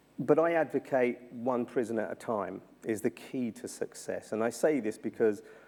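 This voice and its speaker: A man speaks with a dark, mellow tone. He has a South London accent. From South London, England. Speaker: journalist and former prisoner. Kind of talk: keynote talk. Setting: university symposium. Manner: repetitive, halting in places.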